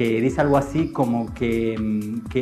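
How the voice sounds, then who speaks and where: A man's voice with fairly even intonation, music in the background. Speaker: poet and writer. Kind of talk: interview answer.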